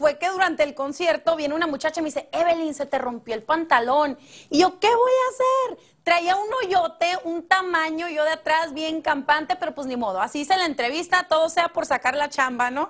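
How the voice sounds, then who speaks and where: Over a quiet background, a woman with an extremely high voice speaks at a moderate pace with lively intonation. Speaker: TV entertainment correspondent. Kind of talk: TV show report, casual chat.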